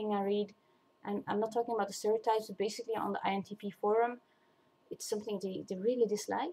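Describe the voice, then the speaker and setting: A fairly high-pitched woman with a non-native accent. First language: not English. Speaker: vlogger. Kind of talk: casual monologue. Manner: halting, many fillers and restarts.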